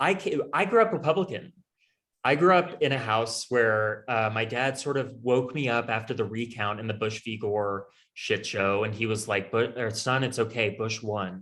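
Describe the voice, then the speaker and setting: With a General American accent, an ordinary speaking voice moves at a moderate pace with ordinary pitch variation in a very clean recording with a silent background. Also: man, medium pitch for a man. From Colorado, US. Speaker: congressional candidate. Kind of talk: interview.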